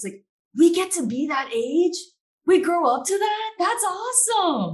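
A woman speaks with an American accent. Her somewhat breathy voice moves through very wide pitch swings. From Maryland. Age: 20s. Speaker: young adult community member. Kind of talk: panel discussion.

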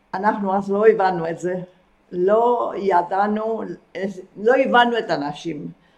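A woman at a very slow pace, medium in pitch with ordinary variation, broken by long, frequent pauses. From Argentina. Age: 80s+. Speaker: retired kibbutz member. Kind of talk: interview about life story.

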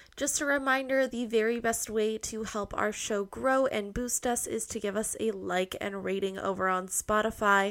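A woman speaks at a moderate pace and fairly high pitch in an unremarkable speaking voice. Her intonation is fairly even, on a very clean recording with a silent background. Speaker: podcast host. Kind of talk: casual chat. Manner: casual, joking.

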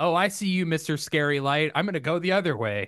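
A man with an unremarkable speaking voice and an American accent talks fairly quickly at a fairly high pitch over a quiet background. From United States. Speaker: podcast co-host. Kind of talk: casual chat.

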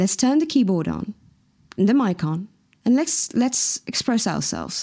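Her pitch swinging very widely, a woman speaks with a dark, mellow tone and a Mauritian accent. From Mauritius. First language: Mauritian Creole. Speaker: singer-songwriter. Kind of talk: interview. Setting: video call.

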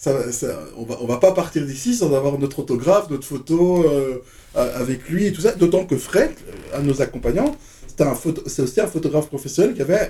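At a moderate pace, a man with a fairly high pitch and a dark, mellow tone speaks in a somewhat breathy voice, his intonation lively and his loudness swinging widely. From Belgium (Brussels). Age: 50s. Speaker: DJ. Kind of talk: casual chat.

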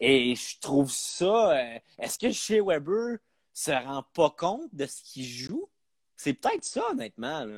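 A man's fairly high voice at a very slow pace, with very wide pitch swings and big swings in loudness, dry and close with no echo. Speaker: comedian. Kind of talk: casual chat.

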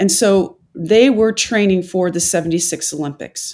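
This woman has a plain, everyday voice and an American accent, pitched fairly low with ordinary variation. The recording is very clean, with a silent background. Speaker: physician and former Olympic rower. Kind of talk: storytelling interview.

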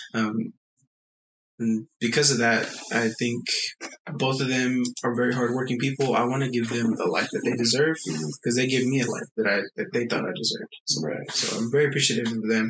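A man talks fairly quickly, his pitch moving in an ordinary way. His is a plain, everyday voice, pitched in the medium range. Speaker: life insurance advisor. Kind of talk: casual interview.

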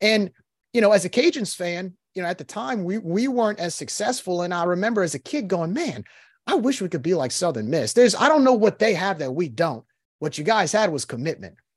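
Over a quiet background, a man talks at a fairly quick pace with a high pitch and very wide pitch swings. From New Orleans, Louisiana. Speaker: sports fan podcast host. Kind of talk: casual chat.

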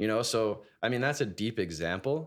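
At a fairly quick pace, a man talks in an unremarkable speaking voice with ordinary pitch variation on a very clean recording with a silent background. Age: 20s. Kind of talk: casual chat.

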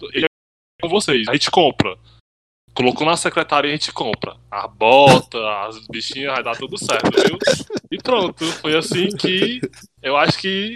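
A man's fairly high voice with very wide pitch swings, a moderate pace and long, frequent pauses. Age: 20s. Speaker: tribute band member, podcast co-host. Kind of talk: casual chat.

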